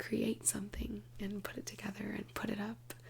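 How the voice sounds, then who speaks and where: A woman speaks softly. Noticeable background noise can be heard. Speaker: ASMR creator. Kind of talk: soft-spoken ASMR ramble to camera. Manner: soft-spoken, casual, rambling.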